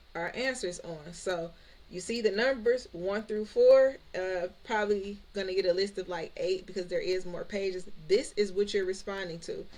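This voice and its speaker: Her animated voice sits at a medium pitch for a woman, with ordinary pitch variation. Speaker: credit repair and business coach, YouTuber. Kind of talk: tutorial. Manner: fast; casual, animated.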